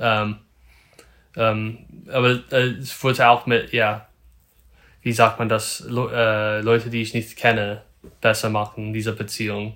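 A man with an English accent speaks at a very slow pace in a bright, sharp tone. His intonation is flat and monotone, broken by long, frequent pauses. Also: medium pitch for a man. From Northern California. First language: English (speaking German). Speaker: photographer. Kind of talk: casual interview. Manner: halting, many fillers.

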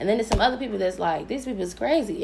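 An animated voice with an American accent over noticeable background noise. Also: woman. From US Midwest, Chicago. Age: 20s. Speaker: podcast host. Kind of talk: casual chat.

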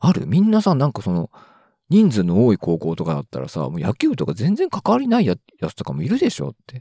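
A very clean recording with a silent background, a dry, close sound with no echo, and a fairly quick pace. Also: man. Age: 30s. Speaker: solo podcaster. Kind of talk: casual solo monologue.

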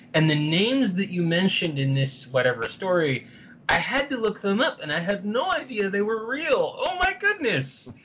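At a moderate pace, a man with a high pitch and an American accent speaks with very wide pitch swings over noticeable background noise. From San Francisco, US. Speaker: historian and novelist. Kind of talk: interview. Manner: halting, many repetitions.

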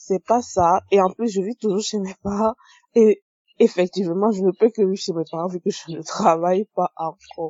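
Medium-pitched female speech, moderately paced and with ordinary pitch variation. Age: 20s. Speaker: testimony contributor. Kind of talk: recorded testimony.

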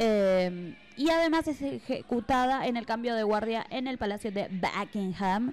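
A woman's fairly high voice with lively intonation, fairly slow in pace yet with hardly any pauses. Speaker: radio host. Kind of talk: casual radio chat. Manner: animated.

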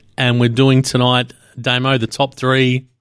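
Recorded very cleanly against a silent background, with a dry, close sound and no echo, a man with an Australian accent speaks at a medium pitch and a moderate pace. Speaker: sports podcast host. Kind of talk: casual chat. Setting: studio, hosts in same room.

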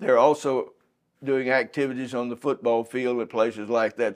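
A man with an East Texas accent, medium pitch and moderate pace, in a quiet background. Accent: East Texas Southern US. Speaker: museum guide. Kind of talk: guided museum tour interview. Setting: museum.

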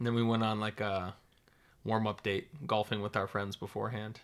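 Someone with a Minnesota accent talks at a fairly quick pace in a bright, sharp tone. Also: man, very clean recording, silent background. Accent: Upper Midwest (Minnesota) American. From northern Minnesota. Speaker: podcast guest, host's husband. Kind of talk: casual chat.

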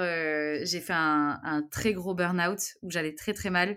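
At a fairly slow pace, a woman speaks at medium pitch with fairly even intonation on a very clean recording with a silent background. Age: 30s. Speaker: travel YouTuber. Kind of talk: interview. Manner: halting, many repetitions and fillers.

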